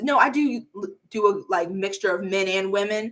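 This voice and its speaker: Fairly high-pitched and animated in tone, a woman speaks with an American accent and ordinary pitch variation. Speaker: YouTuber. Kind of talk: casual chat. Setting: live stream.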